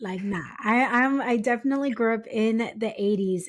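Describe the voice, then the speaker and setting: A woman speaks with ordinary pitch variation. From US West Coast, San Diego County, California. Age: 40s. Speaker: podcast host, guest. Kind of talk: casual interview chat.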